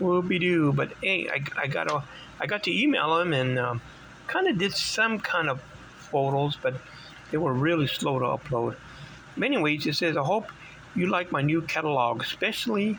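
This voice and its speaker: Amid noticeable background noise, a man with a fairly high pitch speaks at a moderate pace with lively intonation and very even loudness. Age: 60s. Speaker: vintage bike collector. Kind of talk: casual show-and-tell video. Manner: halting, many fillers.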